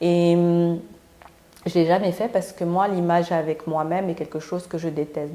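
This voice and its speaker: This woman's voice has a dark, mellow tone and a fairly low pitch. Her intonation stays fairly even. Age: 40s. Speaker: vlogger and entrepreneur. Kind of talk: casual vlog monologue. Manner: hesitant, many fillers.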